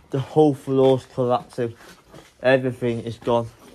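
His intonation stays monotone and flat. The man keeps a fairly slow pace. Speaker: urban explorer vlogger. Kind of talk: casual vlog chat. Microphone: phone near.

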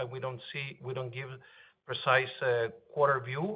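A man talks in a plain, everyday voice. His pitch is fairly high and his intonation fairly even. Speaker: business executive. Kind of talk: earnings call Q&A. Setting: phone conference call.

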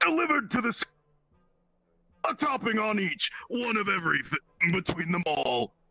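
A man puts on a character voice pitched high. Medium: actual play. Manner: stilted, formal, mechanical phrasing.

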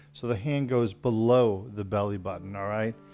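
A man's fairly low voice at a moderate pace, with ordinary pitch variation and faint music in the background. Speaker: tai chi instructor. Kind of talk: tutorial. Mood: calm, friendly. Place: home room.

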